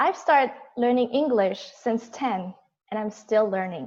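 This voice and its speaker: A high-pitched woman speaks at a very slow pace. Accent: Korean. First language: Korean. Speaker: toastmasters member giving prepared speech. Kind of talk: prepared speech. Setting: video call.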